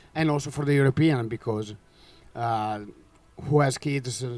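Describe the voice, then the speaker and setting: Fairly even intonation in an Italian accent, at a moderate pace, with music in the background. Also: man. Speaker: championship bid presenter. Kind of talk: bid presentation. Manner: halting.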